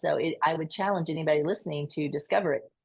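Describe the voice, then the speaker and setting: Fairly low in pitch, a woman talks very fast with a Southern US accent. Her intonation is fairly even. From US South, rural Georgia. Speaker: nurse and podcast guest. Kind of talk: interview.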